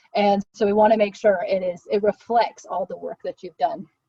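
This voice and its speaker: Delivering her words at a moderate pace, a woman talks in a fairly high, slightly breathy voice. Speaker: volunteer program staff member. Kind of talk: virtual info session presentation.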